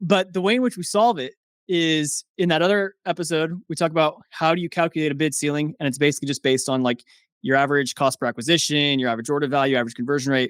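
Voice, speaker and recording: A man talks at a very fast pace with fairly high pitch and ordinary pitch variation. The sound is dry and close with no echo, on a very clean recording with a silent background. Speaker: software founder, Amazon ads expert. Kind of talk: casual interview chat. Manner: animated.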